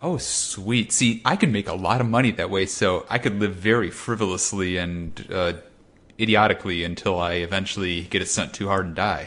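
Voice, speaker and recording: An ordinary speaking voice moves at a moderate pace. Its intonation stays fairly even. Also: man, fairly low pitch for a man. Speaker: podcast co-host. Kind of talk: casual comedy podcast chat.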